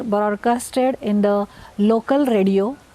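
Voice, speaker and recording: In a Marathi accent, a woman talks at a fairly slow pace and a fairly high pitch with ordinary pitch variation. Noticeable background noise is present. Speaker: scientist. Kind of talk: recorded self-introduction.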